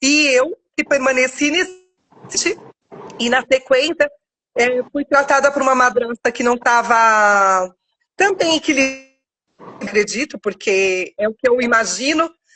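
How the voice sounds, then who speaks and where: This woman's voice is high and her intonation lively. She leaves long, frequent pauses. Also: fairly slow pace. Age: 40s. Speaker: author sharing life story. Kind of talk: testimony. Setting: live video stream. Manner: halting.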